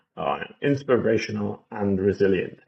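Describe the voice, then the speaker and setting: With an English accent, a man talks at a moderate pace. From England. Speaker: gaming YouTuber. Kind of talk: gameplay walkthrough commentary. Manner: casual, hesitant with fillers.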